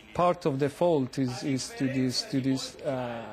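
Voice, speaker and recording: At a fairly slow pace, a man speaks with an Italian accent. His pitch is fairly high with ordinary variation. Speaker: political historian, university lecturer. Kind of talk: news interview. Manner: halting, many fillers and restarts.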